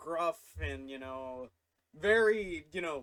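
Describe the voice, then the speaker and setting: A man with an American accent is speaking. His fairly high pitch shows ordinary variation. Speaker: YouTuber. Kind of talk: casual storytime vlog. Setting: home studio. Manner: halting, many fillers.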